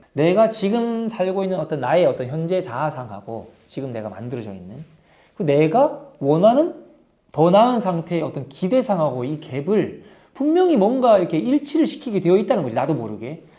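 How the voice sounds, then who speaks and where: Pitched high for a man, his voice has a dark, mellow tone at a moderate pace. It makes very wide pitch swings and big swings in loudness. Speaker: marketing educator and book reviewer. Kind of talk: book review talk. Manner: halting, with fillers and restarts; conversational, casual.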